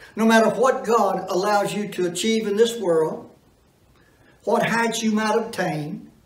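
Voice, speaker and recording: There is audible room echo as a man talks at a fairly slow pace. His pitch is high. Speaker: preacher. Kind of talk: sermon. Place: church.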